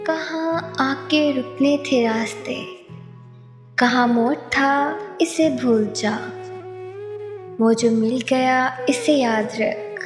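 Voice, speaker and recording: Over music in the background, a woman with a high pitch speaks in a soothing tone, her intonation lively and her loudness very even. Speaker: poetry narrator. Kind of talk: poetry reading.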